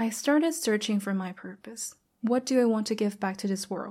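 A woman with a Thai accent and a dark, mellow tone at a moderate pace. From Thailand. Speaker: podcast host. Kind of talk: motivational monologue. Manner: animated.

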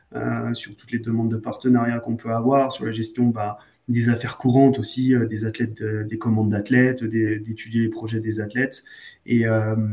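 Intonation stays monotone and flat in this voice with a dark, mellow tone. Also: man. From France, Savoie (Beaufort area). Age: 30s. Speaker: sports marketing manager, former cross-country skier. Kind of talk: casual interview. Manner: halting, frequent repetitions and fillers.

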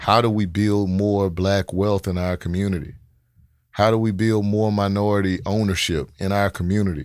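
In a Memphis accent, a man talks at a moderate pace in a flat monotone, on a very clean recording with a silent background. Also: fairly low pitch for a man. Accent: Southern US (Memphis). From Memphis, Tennessee (Oak Haven). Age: 40s. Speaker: mayoral candidate and city development executive. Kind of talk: casual interview.

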